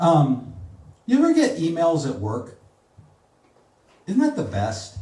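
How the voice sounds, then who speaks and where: With a somewhat breathy quality, a man speaks at a fairly high pitch. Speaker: spoken word comedy poet. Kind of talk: live comedy poetry slam performance. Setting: live venue with audience.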